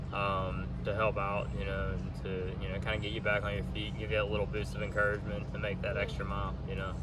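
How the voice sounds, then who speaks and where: Over noticeable background noise, a man with an American accent talks at a very fast pace with hardly any pauses. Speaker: thru-hiker. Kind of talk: casual interview.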